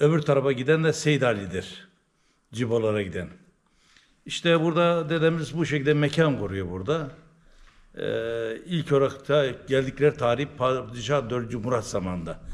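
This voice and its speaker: With an eastern Turkish accent, a man speaks at a fairly high pitch, a moderate pace, and ordinary pitch variation. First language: Zaza (speaking Turkish). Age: 70s. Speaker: Alevi religious elder. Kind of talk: interview, oral history.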